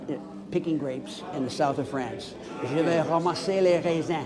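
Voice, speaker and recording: A man's fairly high voice at a fairly quick pace with ordinary pitch variation, amid audible room echo and noticeable background noise. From Newfoundland, Canada. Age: 70s. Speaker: retired English teacher. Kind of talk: street interview. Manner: halting.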